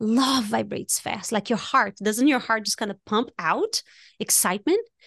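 A woman with a non-native accent talks at a moderate pace, and the sound is dry and close with no echo. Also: quiet background. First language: not English. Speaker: life coach. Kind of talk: casual chat. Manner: animated.

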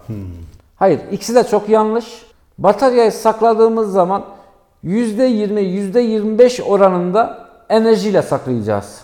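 High-pitched male speech, fairly slow, with ordinary pitch variation. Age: 40s. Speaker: electric bicycle shop owner. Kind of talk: casual interview. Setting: in his shop. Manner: hesitant, many filler sounds.

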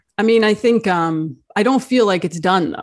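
A woman with an unremarkable speaking voice and an American accent, at a moderate pace with lively intonation. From New Jersey. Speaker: journalist and author. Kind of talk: interview. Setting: live video stream.

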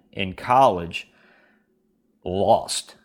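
A man with an American accent. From Kentucky. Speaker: duck and goose call maker, competition caller. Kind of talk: casual interview chat. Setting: remote call, self-recorded.

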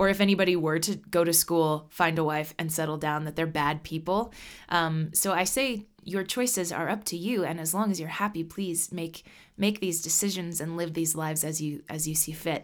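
A woman's unremarkable speaking voice with an American accent, fairly low in pitch, fairly even in intonation and moderate in pace, in a very clean recording with a silent background. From Nebraska, US Midwest. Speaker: singer-songwriter. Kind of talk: interview.

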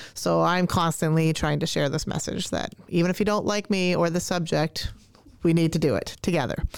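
This woman has a plain, everyday voice with a Canadian accent, fairly low pitch, fairly even intonation, very even loudness and a moderate pace, in a very clean recording with a silent background. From Canada. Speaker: language arts teacher. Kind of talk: casual interview chat. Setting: studio.

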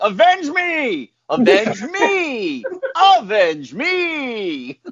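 A put-on character voice, fairly high in pitch, with very wide pitch swings, a dramatic tone and a very slow pace. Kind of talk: theatrical, exaggerated emphasis. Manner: over-the-top, dramatic, pleading cry.

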